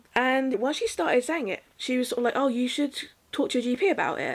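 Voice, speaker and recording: A woman with a British accent talks at a very fast pace in a high pitch. Her intonation is lively, and there is noticeable background noise. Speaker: vlogger. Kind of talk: casual monologue.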